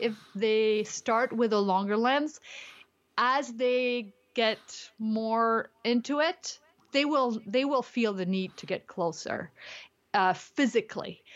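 Speaking very slowly, a woman uses a high pitch with ordinary pitch variation. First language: not English. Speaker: street photographer and teacher. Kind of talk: casual interview. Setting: remote call. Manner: frequent laughter.

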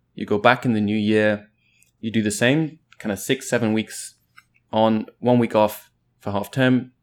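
With an English accent, a man at a medium pitch speaks at a moderate pace in fairly even intonation, leaving long, frequent pauses. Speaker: podcast guest. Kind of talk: casual chat.

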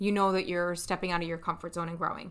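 A loud woman's voice with a bright, sharp tone on a very clean recording with a silent background. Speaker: podcast co-host, life coach. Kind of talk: casual, chatty.

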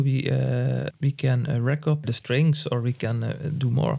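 The speaker is a man. He has a dark, mellow tone. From Netherlands, Limburg. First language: Dutch (Limburg dialect). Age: 70s. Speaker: music manager. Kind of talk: interview. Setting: home practice room.

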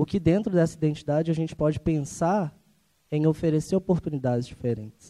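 With a dark, mellow tone and fairly high pitch, a man talks at a fairly quick pace with ordinary pitch variation. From Ribeirão das Neves, Minas Gerais, Brazil. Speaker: audience member. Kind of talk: audience comment. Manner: halting.

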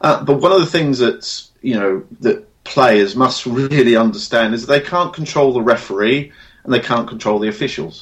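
In an ordinary speaking voice, a man talks at a moderate pace and medium pitch, with lively intonation and hardly any pauses. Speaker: hypnotherapist and sports specialist. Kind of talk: interview, casual professional chat.

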